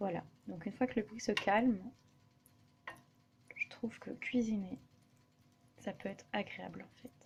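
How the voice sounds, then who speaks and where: A woman speaks at a fairly high pitch with vocal fry and ordinary pitch variation. Her loudness swings widely, and she leaves long, frequent pauses. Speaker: vlogger. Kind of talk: casual vlog monologue while cooking. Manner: hesitant, many fillers.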